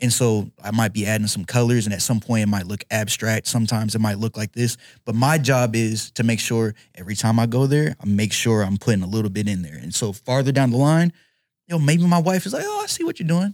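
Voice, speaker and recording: A man's unremarkable speaking voice at medium pitch with lively intonation and a fairly quick pace, dry and close with no echo on a very clean recording with a silent background. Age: 20s. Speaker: MMA fighter. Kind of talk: casual chat.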